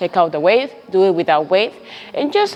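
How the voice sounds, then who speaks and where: The voice belongs to a woman. She talks with a non-native accent. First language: not English. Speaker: personal trainer. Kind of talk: tutorial. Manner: halting.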